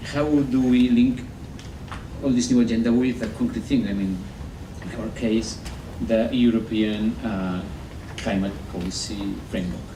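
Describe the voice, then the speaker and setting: Speaking at a moderate pace with a medium pitch, a man leaves long, frequent pauses, with audible room echo and noticeable background noise around him. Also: ordinary pitch variation. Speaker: environmental policy advisor. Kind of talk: conference presentation. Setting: workshop with live audience. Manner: halting, many repetitions and fillers.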